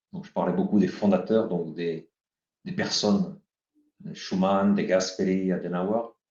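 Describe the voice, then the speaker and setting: A man talks at a fairly slow pace. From France, Paris. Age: 60s. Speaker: author and leadership teacher. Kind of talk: interview.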